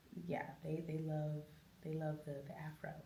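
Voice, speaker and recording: Audible room echo surrounds a woman with an American accent. Her voice is very deep and low, and somewhat breathy. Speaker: jazz and soul singer. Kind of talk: interview.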